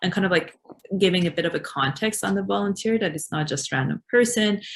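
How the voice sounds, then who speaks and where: This woman has an Iranian accent and a somewhat breathy voice. Her intonation is lively. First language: Farsi. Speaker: refugee support worker. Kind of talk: webinar discussion.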